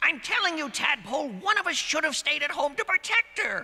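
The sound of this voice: A cartoonish character voice pipes up at a high pitch. It moves at a fairly quick pace.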